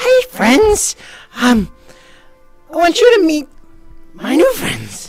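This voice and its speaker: Faint music sits in the background. A put-on character voice talks at a very slow pace. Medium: actual play.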